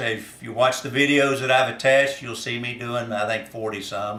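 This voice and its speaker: There is audible room echo and noticeable background noise as a man with a Kentucky accent talks at a fairly high pitch. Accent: Kentucky Southern US. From US South, northern Kentucky. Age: 60s. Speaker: farmer and former reality show contestant. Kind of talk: casting application video monologue. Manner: hesitant with frequent fillers.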